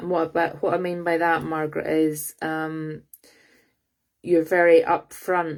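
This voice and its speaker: A woman with a Scottish accent speaks at a fairly slow pace in a very deep, low pitch, her intonation monotone and flat. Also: very clean recording, silent background. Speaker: psychic reader. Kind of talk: live psychic reading. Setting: livestream. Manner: halting with many fillers.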